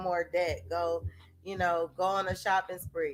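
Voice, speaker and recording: This woman has an ordinary speaking voice at a medium pitch. Her pace is fairly slow. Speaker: self-help video host. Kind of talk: casual talk-to-camera monologue.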